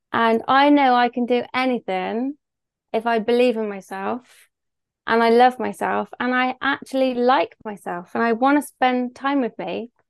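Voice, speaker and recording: Someone with a Bristol accent talks at a fairly slow pace with fairly even intonation, the sound dry and close with no echo against a quiet background. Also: woman, high pitch for a woman. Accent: Bristol West Country English. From Bristol, England. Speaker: business owner. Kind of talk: casual interview chat.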